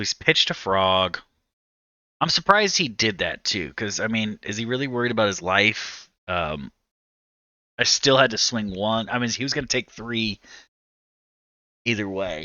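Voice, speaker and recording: Using a raspy, put-on character voice, a man speaks at a medium pitch and moderate pace with lively intonation and long, frequent pauses. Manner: relaxed.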